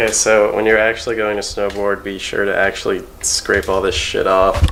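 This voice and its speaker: A man speaks at a moderate pace. Noticeable background noise sits behind him. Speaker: amateur snowboard repairer. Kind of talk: casual how-to talk with a friend.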